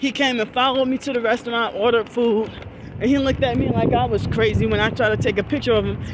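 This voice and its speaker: Over noticeable background noise, a woman speaks at a very fast pace in a dry recording with no echo. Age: 40s. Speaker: vlogger. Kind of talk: vlog monologue. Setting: outdoors. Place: street. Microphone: phone near.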